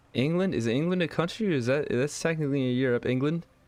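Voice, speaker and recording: A man with an American accent talks at a fairly quick pace. His intonation is lively. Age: 20s. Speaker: gaming streamer. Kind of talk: live gameplay commentary. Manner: casual, rambling.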